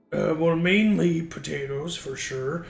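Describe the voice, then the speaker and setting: A man talks in a put-on character voice, fairly high in pitch. His pace is fairly slow. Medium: actual play.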